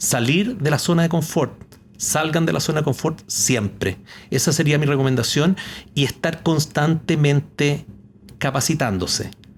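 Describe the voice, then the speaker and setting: A man speaks slowly-ish, at a fairly slow pace, in a normal speaking voice with fairly high pitch and ordinary pitch variation. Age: 60s. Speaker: retired company executive. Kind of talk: podcast interview.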